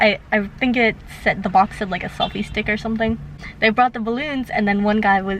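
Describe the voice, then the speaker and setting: A woman's fairly high pitch and fairly even intonation over noticeable background noise. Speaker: vlogger. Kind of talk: casual vlog storytime. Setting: in a parking lot. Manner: fast.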